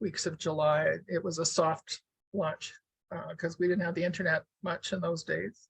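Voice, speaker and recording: Somewhat breathy speech with fairly even intonation comes through a dry, close sound with no echo. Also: woman. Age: 70s. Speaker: weaver and author. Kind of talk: casual talk to an online audience.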